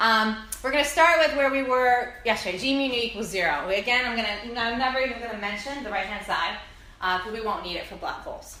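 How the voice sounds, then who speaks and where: A woman with a fairly high pitch speaks at a very fast pace with ordinary pitch variation and big swings in loudness, amid audible room echo and noticeable background noise. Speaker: physics lecturer. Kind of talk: lecture.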